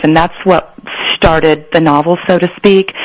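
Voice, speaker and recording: An American accent against noticeable background noise. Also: woman. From Northern California, San Joaquin Central Valley. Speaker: novelist. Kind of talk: interview.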